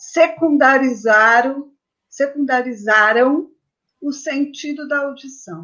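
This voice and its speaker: Her pitch high and its variation ordinary, a woman talks at a very slow pace. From Brazil, São Paulo. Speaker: journalist and book publishing consultant. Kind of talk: casual interview.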